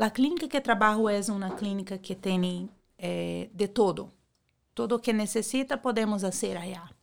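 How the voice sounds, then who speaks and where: A woman speaks at a moderate pace and medium pitch with ordinary pitch variation, in a normal speaking voice. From Brazil. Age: 40s. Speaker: beauty clinic worker. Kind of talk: interview.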